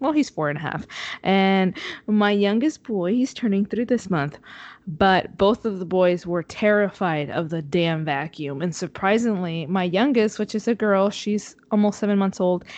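Speaking in a Spanish accent, a woman keeps to a moderate pace. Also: medium pitch for a woman, ordinary pitch variation, quiet background. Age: 20s. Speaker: podcast co-host, mother. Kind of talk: casual chat. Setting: remote call from home.

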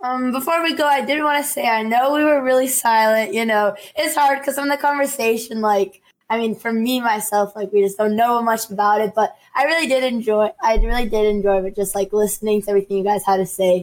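A woman speaks at a fairly quick pace with hardly any pauses in an unremarkable speaking voice, fairly high in pitch with ordinary variation. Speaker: streamer. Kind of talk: casual chat. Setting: video call.

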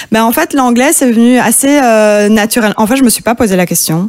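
Talking very fast, a woman uses a fairly high pitch. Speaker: singer-songwriter. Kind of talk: interview. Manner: calm.

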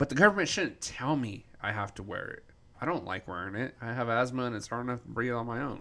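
In a very clean recording with a silent background, a man talks at a very fast pace with an American accent. His medium-pitched voice has a bright, sharp tone and lively intonation. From Denver, Colorado. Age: 30s. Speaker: podcast co-host. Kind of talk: casual chat.

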